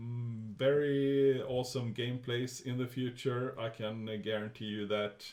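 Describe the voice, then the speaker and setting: A man with a Swedish accent, medium pitch and ordinary pitch variation, at a fairly slow pace. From Sweden. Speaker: gaming youtuber. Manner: hesitant, many fillers.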